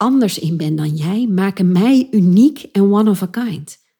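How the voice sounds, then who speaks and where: Her speech fairly slow, a woman uses a medium pitch, a somewhat breathy, dark, mellow tone and lively intonation. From Achterhoek, eastern Netherlands. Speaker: podcast host and creative entrepreneur, former actress. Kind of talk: solo podcast monologue. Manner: animated.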